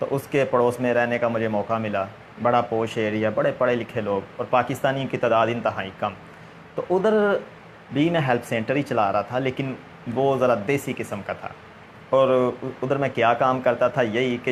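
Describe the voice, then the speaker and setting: Over noticeable background noise, a man with a Punjabi accent speaks at a medium pitch with ordinary pitch variation. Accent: Punjabi accent in Urdu. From Punjab, Pakistan (Gujranwala). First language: Punjabi (speaking Hindi). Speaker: interviewer, religious man. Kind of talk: interview. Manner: hesitant, many fillers.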